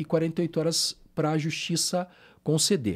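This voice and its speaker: The speaker is a man. His pitch is fairly high. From interior of Rio de Janeiro state, Brazil (Barra Mansa). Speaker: police investigator. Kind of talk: podcast interview.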